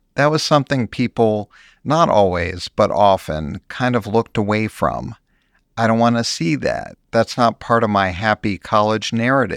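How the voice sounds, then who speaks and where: With a dry, close sound and a very clean, silent background, a man with an unremarkable speaking voice speaks at a moderate pace in a fairly low pitch with ordinary pitch variation. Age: 60s. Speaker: journalist. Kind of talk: interview.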